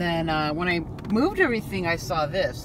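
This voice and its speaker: A woman speaks at a fairly slow pace. The sound is dry with no echo, over light background noise. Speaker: van life vlogger. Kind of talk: casual vlog chat. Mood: animated, recounting a scare. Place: car. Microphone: phone near.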